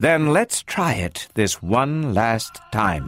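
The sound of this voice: A man puts on a character voice at medium pitch, with big swings up and down. His tone is fairly bright and his pace slow.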